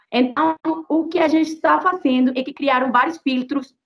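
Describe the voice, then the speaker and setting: Her voice is high for a woman, and its pitch varies in an ordinary way. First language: Spanish (speaking Portuguese). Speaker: activist. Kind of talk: interview. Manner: halting; animated.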